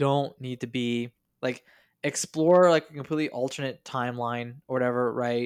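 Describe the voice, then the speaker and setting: Over a very clean recording with a silent background, a man speaks at a moderate pace in a medium pitch. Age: 30s. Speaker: podcast host. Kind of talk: casual chat. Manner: animated.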